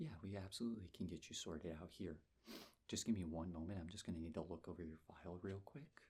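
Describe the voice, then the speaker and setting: A soft-spoken man with a very deep, low pitch talks at a fairly quick pace in a gentle, somewhat breathy tone, leaving long, frequent pauses. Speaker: ASMR creator playing a nurse. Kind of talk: ASMR medical roleplay, soft-spoken personal attention. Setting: close-mic studio recording. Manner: soft-spoken, gentle, calming.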